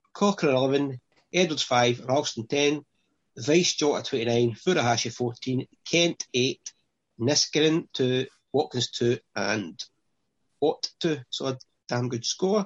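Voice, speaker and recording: A man with a Scottish accent speaks at a medium pitch and a fairly slow pace, with long, frequent pauses. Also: ordinary pitch variation. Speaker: fantasy football podcast host. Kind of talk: casual chat.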